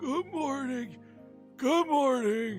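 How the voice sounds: Clear music plays behind a put-on character voice pitched fairly high.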